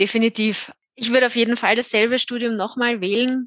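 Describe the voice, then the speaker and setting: A woman speaks at a moderate pace. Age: 20s. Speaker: IT consultant. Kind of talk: interview.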